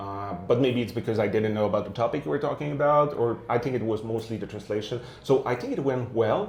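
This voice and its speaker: With audible room echo, a somewhat breathy man at a medium pitch speaks at a very fast pace with hardly any pauses and ordinary pitch variation. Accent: Quebec. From Quebec. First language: French. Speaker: tech video series host, developer relations manager. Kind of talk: casual interview chat. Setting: at a tech conference, imperfect setup. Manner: hesitant, many filler uhs.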